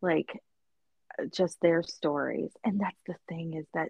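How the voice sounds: A woman with a Midwestern accent talks at a moderate pace, her voice showing vocal fry and a slightly husky edge in a dry, close recording with no echo. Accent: American Midwestern.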